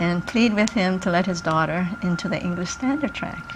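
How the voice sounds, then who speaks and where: A woman of medium pitch speaks at a moderate pace with ordinary pitch variation over noticeable background noise. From Hawaii. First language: Japanese. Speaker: retired social worker and community activist. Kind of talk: interview.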